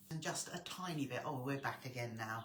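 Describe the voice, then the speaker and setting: A woman with an English accent is heard with audible room echo. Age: 60s. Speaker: sewing tutor. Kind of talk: live stream chat. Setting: live stream. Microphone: quiet volume.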